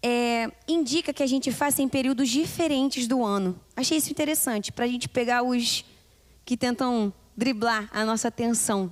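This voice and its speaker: A woman's high-pitched voice at a moderate pace, with ordinary pitch variation and very even loudness. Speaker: doctor giving health talk. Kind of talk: health lecture at women's church meeting. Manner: interactive, asks audience questions.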